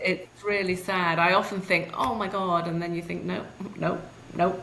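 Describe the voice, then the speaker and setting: Over noticeable background noise, a woman at medium pitch speaks at a moderate pace with monotone, flat intonation. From UK. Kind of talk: interview answer.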